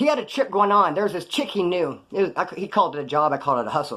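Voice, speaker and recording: An animated man talks at a very fast pace, his high pitch moving in very wide swings. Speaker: former prisoner youtuber. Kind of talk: casual storytelling monologue.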